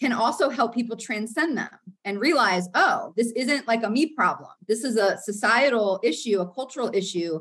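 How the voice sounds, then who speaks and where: A woman's plain, everyday voice with an American accent, fairly high in pitch and at a fairly quick pace. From US South, Florida. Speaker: counseling professor. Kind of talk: interview.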